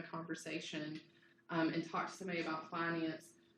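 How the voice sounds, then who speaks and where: A woman's voice with audible room echo. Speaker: university lecturer. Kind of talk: lecture. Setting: classroom. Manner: casual, filler-heavy.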